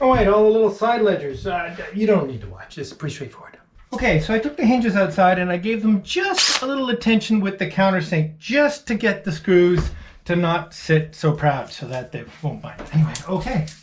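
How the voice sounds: With lively intonation, a man speaks at a moderate pace and a high pitch.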